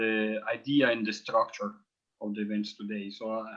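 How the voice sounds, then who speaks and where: He talks with a strong Italian accent. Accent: heavy Italian. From Italy. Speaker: professor and forum co-organizer. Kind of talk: forum introduction.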